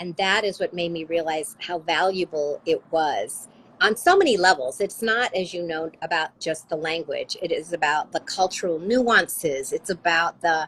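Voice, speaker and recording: A woman talks at a moderate pace with hardly any pauses. Her fairly low pitch has ordinary variation. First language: Spanish. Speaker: author. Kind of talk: interview conversation.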